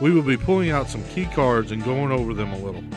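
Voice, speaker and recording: Music in the background behind a moderately paced male speaker. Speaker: show host. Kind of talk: product review / unboxing presentation to camera.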